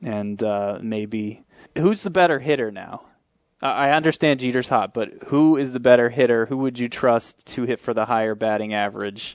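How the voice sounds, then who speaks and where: A man talks with ordinary pitch variation at a medium pitch, the background quiet. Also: moderate pace. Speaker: fantasy baseball analyst. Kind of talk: casual chat. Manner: hesitant, repeats words.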